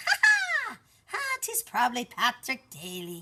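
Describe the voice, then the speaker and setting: Her pace is fairly slow. The woman uses a high, put-on character voice. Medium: read story. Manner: folksy, warm.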